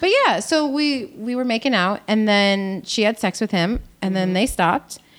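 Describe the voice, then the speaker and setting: A woman's unremarkable speaking voice at a medium pitch, with ordinary pitch variation and a fairly quick pace. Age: 30s. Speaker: podcast guest. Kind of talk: casual chat.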